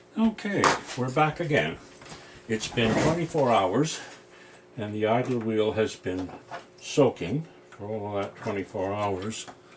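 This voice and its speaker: With noticeable background noise behind him, a man of medium pitch speaks at a fairly slow pace with long, frequent pauses. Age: 70s. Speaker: retired electronics repairman, video hobbyist. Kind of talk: workbench repair tutorial. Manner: casual, rambling with self-talk.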